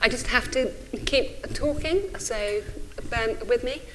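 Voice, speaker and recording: The recording carries noticeable background noise and audible room echo. A woman speaks with very wide pitch swings. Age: 40s. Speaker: think tank director. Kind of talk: conference talk. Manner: halting.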